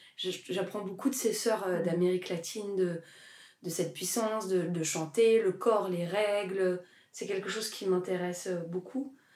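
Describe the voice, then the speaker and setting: With noticeable background noise around her, a woman speaks fairly slowly at a medium pitch and with fairly even intonation. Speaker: actress and singer. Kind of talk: interview. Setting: garden at her home. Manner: loud.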